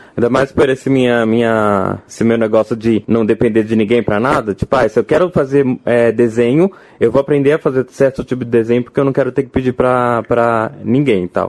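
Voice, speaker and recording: A man with a normal speaking voice talks at a fairly quick pace, with a medium pitch, very even loudness and fairly even intonation, in a dry, close sound with no echo. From Brazil, Rio de Janeiro. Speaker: game designer and drag performer. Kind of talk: casual interview chat. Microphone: poor recording quality early on.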